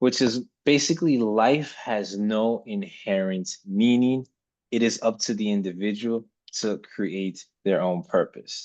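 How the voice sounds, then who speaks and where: This man's pitch sits in the medium range with ordinary variation, and he speaks at a fairly slow pace. The background is quiet. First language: not English. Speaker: podcast co-host. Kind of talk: casual discussion. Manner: hesitant, many ums.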